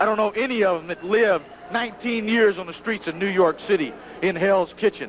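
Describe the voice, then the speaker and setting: A high-pitched man talks at a fairly quick pace with ordinary pitch variation and big swings in loudness. Noticeable background noise runs underneath. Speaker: pro wrestling manager. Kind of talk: wrestling promo interview. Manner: boastful, intense.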